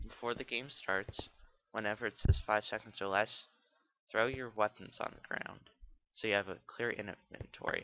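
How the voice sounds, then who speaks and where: Pausing long and often, a man speaks at a moderate pace with a fairly low pitch and flat, monotone intonation. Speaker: gaming video creator. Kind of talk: gameplay tutorial. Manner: casual with many fillers.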